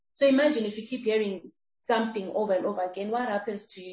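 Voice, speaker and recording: A woman talks at a very fast pace in a somewhat breathy voice pitched fairly high. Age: 30s. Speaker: transformational speaker and entrepreneur. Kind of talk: interview.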